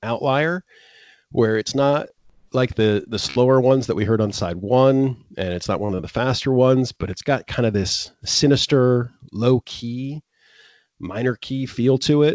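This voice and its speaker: A man with an American accent has an unremarkable speaking voice at a medium pitch. The sound is dry and close with no echo, over a quiet background. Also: ordinary pitch variation, moderate pace. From Florida. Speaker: music podcast host. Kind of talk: casual chat.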